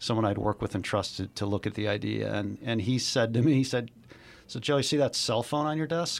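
Clean and silent in the background, the recording catches a man with an American accent and an unremarkable speaking voice, medium pitch, ordinary pitch variation and a fairly quick pace. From Chicago. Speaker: investor and former executive. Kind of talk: interview.

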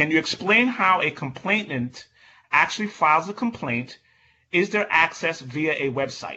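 Speaking at a moderate pace in a normal speaking voice, a man with a fairly high pitch uses lively intonation. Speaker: event moderator. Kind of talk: moderated panel discussion. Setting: video call.

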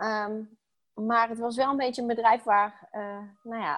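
Fairly high in pitch, a woman speaks in an unremarkable speaking voice with fairly even intonation, the sound dry and close with no echo. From Netherlands, Brabant. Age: 30s. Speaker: stress coach. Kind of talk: interview.

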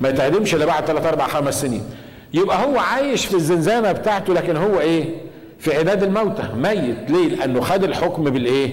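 Amid noticeable background noise and audible room echo, a man speaks at a moderate pace in a high pitch, with lively intonation and very even loudness. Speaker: pastor. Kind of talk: sermon. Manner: animated.

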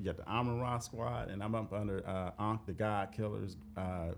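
With an American accent, a man speaks at a moderate pace. His pitch is very deep and low. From Dayton, Ohio. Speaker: author, researcher. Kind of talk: interview.

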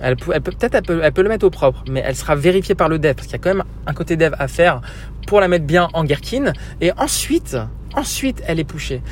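Noticeable background noise runs under the speech. The pace is very fast. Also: man. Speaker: software trainer. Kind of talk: solo monologue podcast. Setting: in a car. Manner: hesitant, filler-heavy.

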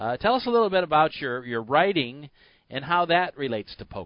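A man's ordinary speaking voice at a moderate pace. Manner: brisk, friendly, broadcast-smooth with filler 'uh's; easy-going, steady pace.

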